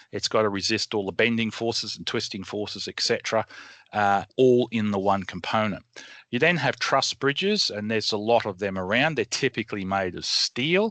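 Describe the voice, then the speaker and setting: A bright, sharp tone comes at a moderate pace in a dry, close sound with no echo. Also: man, fairly low pitch for a man, ordinary pitch variation, quiet background. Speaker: engineer. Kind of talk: educational webinar explanation. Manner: casual, hesitant.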